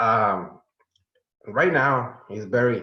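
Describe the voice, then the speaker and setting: Very slow speech from a man with a Spanish accent, medium pitch and ordinary pitch variation, with audible room echo. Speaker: student's parent. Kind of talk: speech at ceremony. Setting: video call. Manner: halting.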